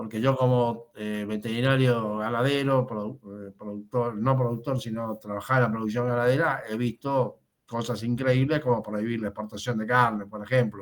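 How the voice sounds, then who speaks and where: Speaking at a moderate pace with hardly any pauses, a man keeps a medium pitch and monotone, flat intonation. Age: 70s. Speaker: veterinarian. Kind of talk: audience question.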